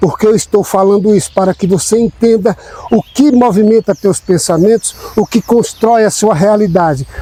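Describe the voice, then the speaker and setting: The man's voice is high-pitched with ordinary pitch variation and a fairly slow pace. The sound is dry and close with no echo, and there is noticeable background noise. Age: 60s. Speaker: spiritual self-help channel host. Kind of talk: motivational talk.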